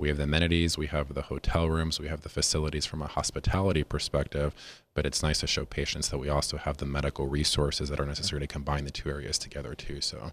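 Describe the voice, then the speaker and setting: A man with an American accent and a very deep, low pitch rattles on at a very fast pace with hardly any pauses, using vocal fry and a monotone, flat intonation. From Las Vegas, Nevada. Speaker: physician, medical director. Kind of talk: casual chat. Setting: studio.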